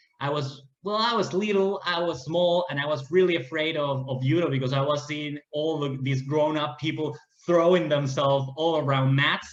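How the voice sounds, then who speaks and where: A man with a Spanish accent speaks at a moderate pace, his pitch fairly high and his intonation fairly even. Room echo is audible. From Peru, Lima. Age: 30s. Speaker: martial arts athlete. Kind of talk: interview. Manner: halting.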